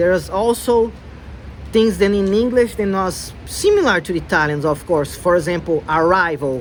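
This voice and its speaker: Against noticeable background noise, a man with a high voice speaks at a fairly slow pace. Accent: Brazilian. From Brazil. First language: Portuguese. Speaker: language learner vlogger. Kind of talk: casual vlog talk. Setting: outdoors in the cold.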